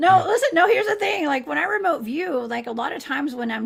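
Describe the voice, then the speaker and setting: Speech races along at a very fast clip in a southern Georgia accent. The pitch leaps up and down across a very wide range. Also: woman. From US South, Georgia. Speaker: remote viewer, livestream guest. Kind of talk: casual chat.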